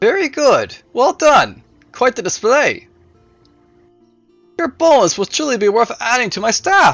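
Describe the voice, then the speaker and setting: A put-on, high-pitched character voice at a fairly slow pace, with faint music in the background. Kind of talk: formal, old-fashioned. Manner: sinister.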